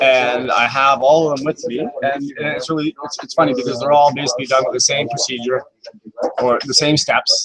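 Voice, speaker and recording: At a fairly quick pace, a man talks with fairly even intonation and a fairly high pitch. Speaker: fly tier. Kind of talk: tutorial. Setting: tackle shop. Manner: loud.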